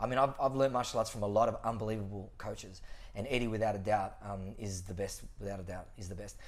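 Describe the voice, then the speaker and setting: A man with an Australian accent speaks very fast in an animated tone at a medium pitch. There is audible room echo. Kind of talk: casual chat.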